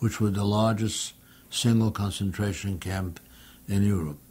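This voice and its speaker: The voice has a dark, mellow tone and is somewhat breathy. It moves at a moderate pace with fairly even intonation. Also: man. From Poland. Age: 80s+. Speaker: Holocaust survivor. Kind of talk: testimony.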